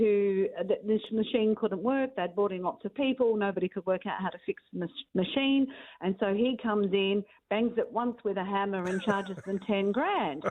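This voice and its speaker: A woman speaks with an Australian accent at a fairly high pitch. Her pace is moderate and her pitch varies in an ordinary way. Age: 60s. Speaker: career expert. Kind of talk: radio interview.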